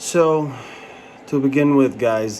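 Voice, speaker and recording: A man with an Arabic accent talks at a fairly slow pace with ordinary pitch variation over noticeable background noise. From Jordan. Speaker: pharmacy license candidate, vlogger. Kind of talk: personal review vlog. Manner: casual, hesitant with fillers.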